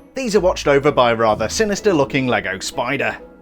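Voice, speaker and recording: A man's upbeat tone at a fairly high pitch, with very wide pitch swings, a fairly quick pace and music in the background. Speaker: LEGO reviewer. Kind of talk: product review narration. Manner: upbeat, jokey.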